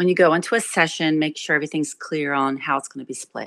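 A woman with an American accent has a very deep, low pitch and ordinary pitch variation. The recording is very clean, with a silent background and a dry, close sound with no echo. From New Jersey, Trenton. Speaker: singer-songwriter and guitarist. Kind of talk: interview conversation.

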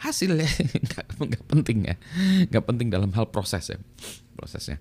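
An animated male voice on a very clean recording with a silent background. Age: middle-aged. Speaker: YouTube vlogger. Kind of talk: casual monologue vlog.

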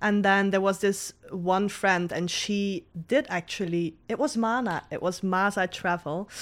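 This woman has a plain, everyday voice. It sits at a medium pitch, with fairly even intonation. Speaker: YouTube travel vlogger. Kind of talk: casual interview chat.

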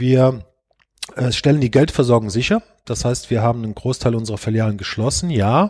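A man with a medium pitch and ordinary pitch variation speaks at a fairly quick pace, somewhat breathy, with long, frequent pauses. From Germany, Rhineland-Palatinate (Eifel region). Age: 50s. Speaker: bank chief executive. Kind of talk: podcast interview. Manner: hesitant, many filler sounds.

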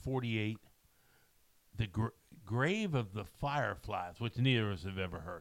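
A man talks at a fairly slow pace with long, frequent pauses. His voice sits fairly low with ordinary pitch variation. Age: 60s. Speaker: podcast co-host. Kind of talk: casual chat. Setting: studio.

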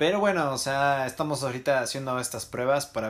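A man talks with ordinary pitch variation. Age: 20s. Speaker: podcast host. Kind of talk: casual chat. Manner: animated.

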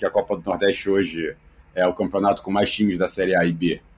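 A man with an unremarkable speaking voice and a fairly low pitch speaks at a fairly quick pace. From Rio de Janeiro, Brazil. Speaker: sports media executive. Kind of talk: interview.

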